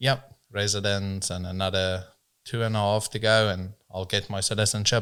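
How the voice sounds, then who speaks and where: Over a very clean recording with a silent background, a man with a South African accent talks at a moderate pace. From South Africa, rural farm upbringing. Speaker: business owner in transport. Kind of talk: casual podcast interview.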